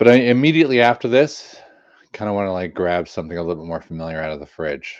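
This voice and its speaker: Talking very fast with an American accent, a man uses a fairly low voice, very wide pitch swings and an animated tone over a quiet background. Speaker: beer reviewer. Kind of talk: casual review monologue. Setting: live stream at home. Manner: animated, rambling.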